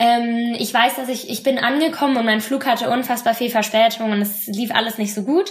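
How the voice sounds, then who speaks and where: A woman speaks in a high pitch. Her intonation stays fairly even. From western Germany, Bonn. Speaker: former exchange student. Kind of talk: podcast interview.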